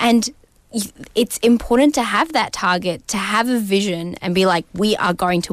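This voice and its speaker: Speaking at a moderate pace with ordinary pitch variation, a woman talks in an Australian accent. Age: 20s. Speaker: senator. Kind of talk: interview.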